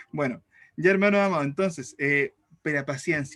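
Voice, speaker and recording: The man's voice has a bright, sharp tone. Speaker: teacher. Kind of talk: lecture. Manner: fast.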